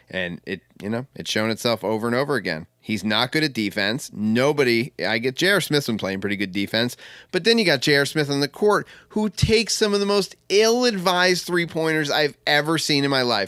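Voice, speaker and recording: With a bright, sharp tone and fairly high pitch, a man speaks at a fairly quick pace with hardly any pauses and very wide pitch swings, in a very clean recording with a silent background. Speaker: sports podcast host. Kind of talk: casual chat. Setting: at home.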